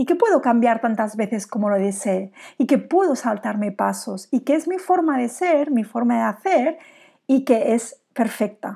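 A woman speaks at a fairly slow pace with a fairly high pitch, a dark, mellow tone and lively intonation. The recording is very clean, with a silent background. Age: 40s. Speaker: business coach and podcast host. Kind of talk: solo podcast monologue.

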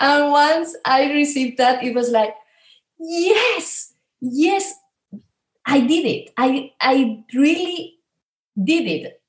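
A woman with a Spanish accent speaks at a very slow pace and a high pitch, with lively intonation and long, frequent pauses. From Spain. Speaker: spiritual coach and healer. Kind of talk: interview conversation.

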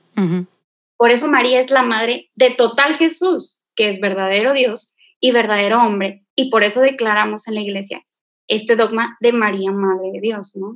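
An ordinary speaking voice, a woman's, pitched fairly high, moderately paced, with ordinary pitch variation. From Monterrey, Nuevo León, Mexico. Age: 20s. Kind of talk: casual faith conversation and testimony.

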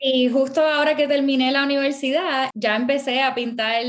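This woman talks high in her range with ordinary pitch variation as noticeable background noise persists. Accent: Puerto Rican. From Puerto Rico. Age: 30s. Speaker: artist and illustrator. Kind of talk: interview.

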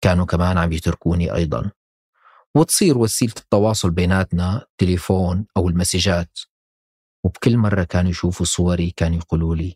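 A man's very deep, low voice with fairly even intonation, dry and close with no echo, in a very clean recording with a silent background. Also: moderate pace. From Syria, Damascus. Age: 30s. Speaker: podcast narrator and producer. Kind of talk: scripted personal narration.

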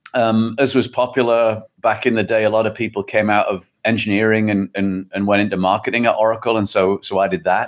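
A man with an English accent speaks at a fairly quick pace with hardly any pauses. His voice is fairly low-pitched, and his intonation is fairly even. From England. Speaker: tech company CEO. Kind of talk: interview.

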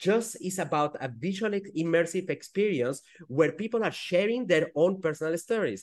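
Lively intonation comes with a Spanish accent against a quiet background. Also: man, high pitch for a man, moderate pace. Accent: Spanish-accented English, noticeable. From Peru and French-speaking Switzerland. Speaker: startup founder. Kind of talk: casual interview chat.

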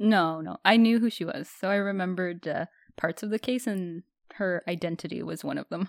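A woman with a Canadian accent and a plain, everyday voice talks at a fairly quick pace, at medium pitch with ordinary pitch variation. The recording is very clean, with a silent background. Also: dry, close sound with no echo. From Canada. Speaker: podcast co-host. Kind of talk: casual chat. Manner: laughs often.

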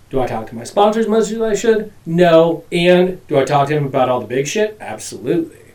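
Talking at a fairly quick pace with hardly any pauses, a man uses a high pitch with very wide pitch swings. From Alaska (Anchorage area). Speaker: recovering addict sharing his story. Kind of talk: testimony in casual chat.

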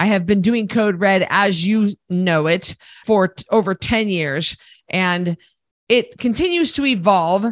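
This woman speaks at a medium pitch. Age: 40s. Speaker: podcast host, weight loss coach and retired boxer. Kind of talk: monologue podcast. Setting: studio recording, also filmed. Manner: blunt and direct.

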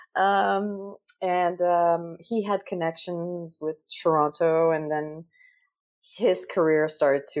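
A woman speaks with a Quebec French accent. Her pitch sits fairly low. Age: 50s. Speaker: actress and voiceover artist. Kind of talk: casual interview.

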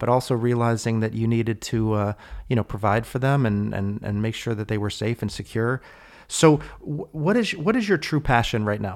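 A man with an ordinary speaking voice, pitched medium with ordinary pitch variation, talks at a moderate pace on a very clean recording over a silent background. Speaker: podcast host. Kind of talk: interview.

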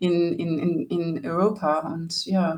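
Speaking at a very slow pace, a woman talks in an English accent. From Australia, rural New South Wales near Sydney. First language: English (speaking German). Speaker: singer and musician. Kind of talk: interview. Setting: video call. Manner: halting, many fillers.

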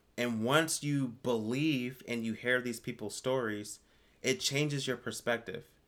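A man's plain, everyday voice at medium pitch, fairly slow and fairly even in intonation, on a very clean recording with a silent background. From Virginia Beach, Virginia. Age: 30s. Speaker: business consultant. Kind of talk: casual chat.

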